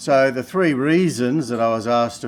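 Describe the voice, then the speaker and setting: A medium-pitched man with an Australian accent and ordinary pitch variation. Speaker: mining company chairman. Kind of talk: investor pitch. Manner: halting, many fillers.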